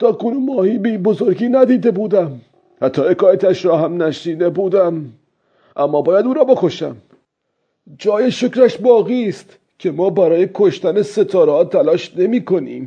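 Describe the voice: Doing a put-on character voice, a man speaks high in pitch with a dark, mellow tone, a slightly husky edge and lively intonation.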